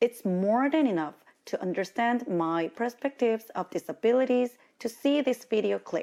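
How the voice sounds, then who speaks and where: With a Korean accent, a woman speaks at a fairly slow pace with lively intonation, her fairly high voice carrying a dark, mellow tone. The recording is very clean, with a silent background. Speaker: diversity consultant and lecturer. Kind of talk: lecture. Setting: university lecture hall with audience.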